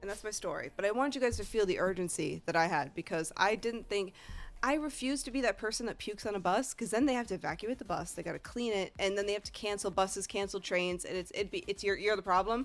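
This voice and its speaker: A woman with a Northeastern US accent talks very fast at a medium pitch, her tone animated and her pitch varying in an ordinary way, on a very clean recording with a silent background. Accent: American Northeast. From US Northeast. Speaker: video game streamer. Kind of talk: casual storytelling to stream chat.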